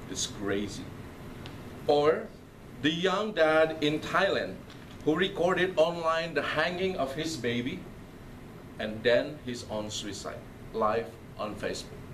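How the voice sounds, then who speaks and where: Audible room echo surrounds a man with a fairly high pitch and lively intonation. He talks at a fairly slow pace, with long, frequent pauses. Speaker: priest. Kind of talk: lecture.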